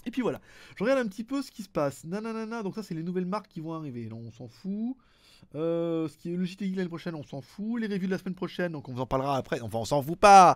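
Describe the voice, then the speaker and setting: A very clean recording with a silent background, a man at a high pitch, very fast pace and very wide pitch swings. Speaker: tech youtuber answering viewer questions. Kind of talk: casual solo video chat. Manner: casual, rambling with fillers.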